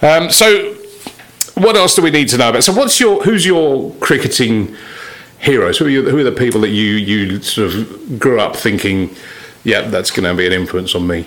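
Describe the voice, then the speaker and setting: Noticeable background noise fills the recording. Through it, a man talks with very wide pitch swings. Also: medium pitch for a man, moderate pace. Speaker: cricket podcast host. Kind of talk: casual interview.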